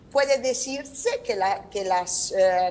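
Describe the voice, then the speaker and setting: A very slow delivery with a non-native accent. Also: woman. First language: Italian (speaking Spanish). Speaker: law professor. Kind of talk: conference talk. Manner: halting.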